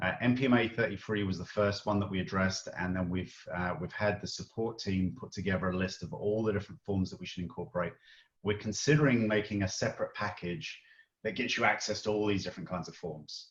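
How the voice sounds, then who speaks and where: Very fast, somewhat breathy speech from a man, fairly low in pitch and with ordinary pitch variation. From Britain. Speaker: software product lead. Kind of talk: live Q&A webinar.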